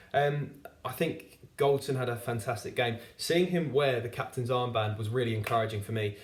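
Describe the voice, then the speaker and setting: Noticeable background noise sits behind the recording. Over it, a man talks with fairly even intonation. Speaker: football fan reviewer. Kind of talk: football match review monologue. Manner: halting, stutters with fillers.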